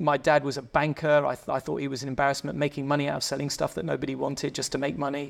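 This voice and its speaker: Here a man talks very fast with an English accent. His voice sits fairly high. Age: 50s. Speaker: motorcycle club founder. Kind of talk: casual chat. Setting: member lounge.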